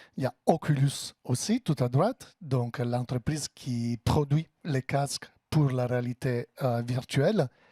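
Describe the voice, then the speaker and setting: A man speaks very slowly with hardly any pauses, at medium pitch with ordinary pitch variation. His tone is dark and mellow, somewhat breathy, with a dry, close sound and no echo. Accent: Italian. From Italy. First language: Italian (speaking French). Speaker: tech company partner manager. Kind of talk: business presentation. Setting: office event with audience.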